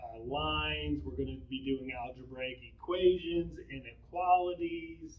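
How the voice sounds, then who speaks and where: Noticeable background noise runs under this recording. A man speaks at a very slow pace. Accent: American. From New York. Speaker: middle school math teacher. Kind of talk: informational talk to parents. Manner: casual, with fillers.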